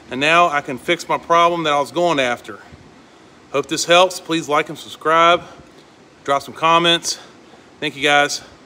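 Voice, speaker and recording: Delivery runs at a moderate pace, broken by long, frequent pauses. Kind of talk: tutorial. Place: workshop. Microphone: phone near.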